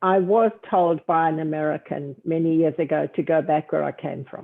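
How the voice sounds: A woman speaks at a moderate pace with vocal fry. Her voice sits low, and her intonation stays fairly even.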